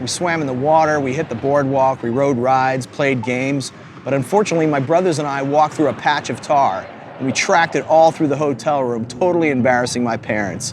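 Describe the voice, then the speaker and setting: Against noticeable background noise, a man with an American accent speaks fairly high in pitch with ordinary pitch variation. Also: fairly quick pace. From New Jersey. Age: 50s. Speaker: travel show host and musician. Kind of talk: casual interview and on-camera talk.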